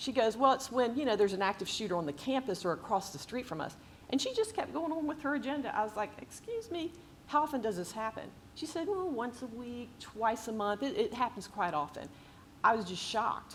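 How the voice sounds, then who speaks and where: A woman's high-pitched voice at a fairly quick pace, with very wide pitch swings over noticeable background noise. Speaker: real estate investor and author. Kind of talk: book talk with slides. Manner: fast.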